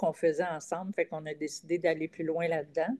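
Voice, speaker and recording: A woman with a Quebec accent and a fairly low pitch, against a quiet background. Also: dry, close sound with no echo. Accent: Québécois French. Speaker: comedian. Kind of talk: casual chat. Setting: video call.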